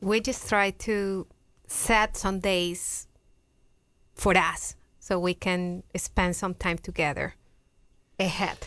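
A woman with a Colombian accent, very slow with long, frequent pauses, medium pitch and fairly even intonation, over a quiet background. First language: Spanish. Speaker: fitness coach. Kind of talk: testimony. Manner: shy.

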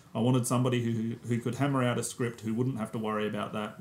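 Noticeable background noise sits behind a man speaking at medium pitch. He talks at a very fast pace with monotone, flat intonation. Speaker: podcast co-host. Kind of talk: casual film podcast discussion. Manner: hesitant, many fillers.

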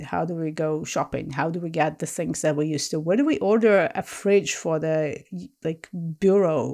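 A woman with a Russian accent at a moderate pace, ordinary pitch variation, very clean recording with a silent background. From Soviet Union, then Israel from teens. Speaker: historian and author. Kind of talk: interview.

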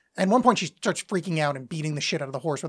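The speech comes at a very fast pace. The recording is very clean with a silent background. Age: middle-aged. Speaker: podcast co-host. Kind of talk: casual chat.

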